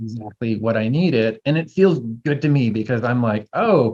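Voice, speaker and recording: This is a man's voice. It sits at a medium pitch. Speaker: herbalism teacher. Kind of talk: casual chat. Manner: fast; animated.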